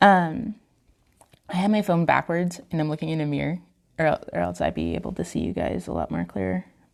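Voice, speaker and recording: A soft-spoken woman talks at a fairly quick pace. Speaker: face painter. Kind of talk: tutorial.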